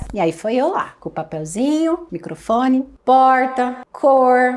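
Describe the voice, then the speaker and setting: High female speech with noticeable background noise. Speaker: speech therapist. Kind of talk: educational talk to colleagues. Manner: casual, conversational.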